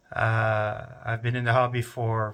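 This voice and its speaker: Fairly slow and monotone with flat intonation, a man speaks in a medium pitch in a very clean recording with a silent background. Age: 60s. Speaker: retired RC hobbyist. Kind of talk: casual show-and-tell video. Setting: home workshop. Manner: halting, many filler uhs.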